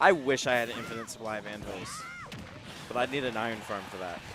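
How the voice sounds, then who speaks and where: With a Maryland accent, a man talks very fast in a medium pitch and an animated tone. Music plays in the background. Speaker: esports commentator. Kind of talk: live commentary.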